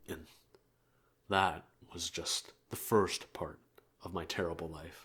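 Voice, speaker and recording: Putting on a raspy, deadpan character voice, a man speaks fairly slowly in a very deep, low pitch, with big swings in loudness and long, frequent pauses. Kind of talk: anime roleplay monologue. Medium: role play. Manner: soft-spoken; deadpan, grumbling.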